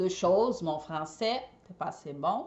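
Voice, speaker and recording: This woman has a Brazilian accent. Her pitch is fairly low. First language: Portuguese (speaking French). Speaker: eco party decorator and entrepreneur. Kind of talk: personal storytelling vlog. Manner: hesitant, many fillers.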